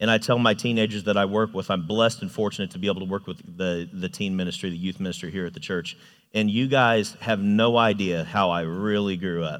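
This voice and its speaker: A man speaks in a normal speaking voice at a fairly low pitch, with ordinary pitch variation. His pace is fairly quick with hardly any pauses, on a very clean recording with a silent background. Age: 30s. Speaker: youth ministry volunteer and construction manager. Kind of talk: sermon.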